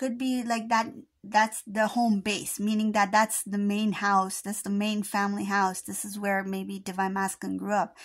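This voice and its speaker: Against a quiet background, a woman talks in a somewhat breathy, monotone, flat voice. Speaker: intuitive charm reader. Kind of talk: casual reading commentary. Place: home room.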